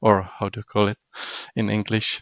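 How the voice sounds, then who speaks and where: A man speaks with a non-native accent at a fairly low pitch. The sound is dry and close, with no echo. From Europe. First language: not English. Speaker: game developer. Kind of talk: interview answer.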